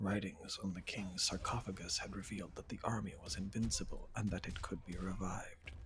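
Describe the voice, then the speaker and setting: Soft-spoken and calm in tone, a man talks at a fairly quick pace. He hardly pauses at all. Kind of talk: reading game character biographies aloud. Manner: soft-spoken, calm.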